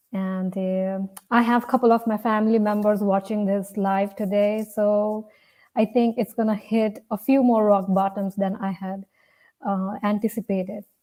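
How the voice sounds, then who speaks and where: In a medium-pitched, dark and mellow voice, a woman speaks at a moderate pace with flat, monotone intonation. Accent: Indian. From India. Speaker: storyteller. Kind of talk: personal storytelling.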